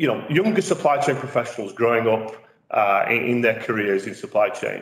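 Audible room echo surrounds a man who talks at a fairly quick pace with very wide pitch swings. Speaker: interviewer host. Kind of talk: interview introduction. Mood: warm, friendly. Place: meeting room.

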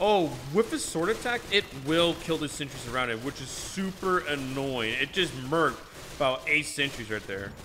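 Over noticeable background noise, a man speaks at a moderate pace. His fairly high voice has lively intonation. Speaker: gaming youtuber. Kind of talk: gameplay commentary. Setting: echoey room in new house. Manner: halting, with filler words.

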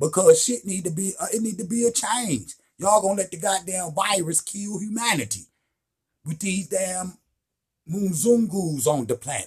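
Talking at a moderate pace, a man with a high pitch and a slightly husky edge uses lively intonation.

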